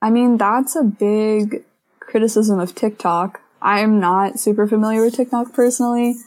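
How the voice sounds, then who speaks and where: A woman with an American accent speaks in a normal speaking voice at a moderate pace, her fairly high pitch carried on fairly even intonation and very even loudness. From Missouri, US. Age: young. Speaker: college student. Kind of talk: casual chat.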